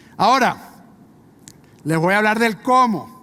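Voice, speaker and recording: A man speaks with a Venezuelan accent. His intonation is lively. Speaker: business executive. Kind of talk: conference talk.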